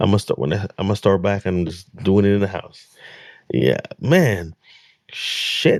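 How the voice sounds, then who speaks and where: In a dry, close recording with no echo, a man speaks at a moderate pace in a fairly low voice with vocal fry and lively intonation. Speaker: reaction video host. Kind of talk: casual reaction commentary. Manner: stuttering, repeats words.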